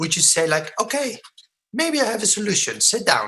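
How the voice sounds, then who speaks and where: This man talks at a moderate speed. His voice has a bright, sharp edge. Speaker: product presenter. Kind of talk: sales presentation. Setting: online webinar with screen share. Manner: mumbling.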